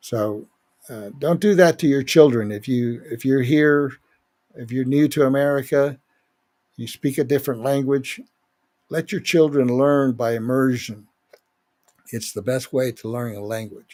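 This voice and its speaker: At a fairly slow pace, a man speaks at medium pitch with ordinary pitch variation and big swings in loudness. He leaves long, frequent pauses. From Spanish-speaking country, moved to US at seven. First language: Spanish. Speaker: podcast host. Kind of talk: political podcast monologue. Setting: live broadcast.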